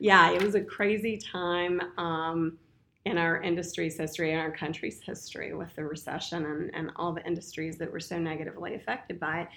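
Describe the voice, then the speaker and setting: With a bright, sharp tone and an American accent, the speaker moves at a fairly quick pace with fairly even intonation. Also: woman, fairly low pitch for a woman. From Winchester, Virginia. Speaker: real estate broker and career coach. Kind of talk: casual interview chat.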